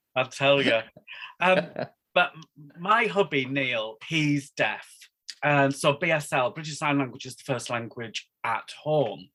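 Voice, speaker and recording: With a Northeast English accent, this man speaks at a fairly slow pace in a fairly high pitch, using lively intonation, a bright, sharp tone, and long, frequent pauses. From northeast England, Darlington. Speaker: wedding celebrant and sign language interpreter. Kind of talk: casual chat.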